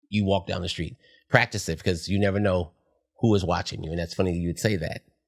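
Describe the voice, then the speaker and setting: A man talks at a very fast pace in a very deep, low pitch with an animated tone. The recording is very clean, with a silent background. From San Francisco Bay Area, California. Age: 50s. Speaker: dancer and hair stylist. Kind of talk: casual interview chat.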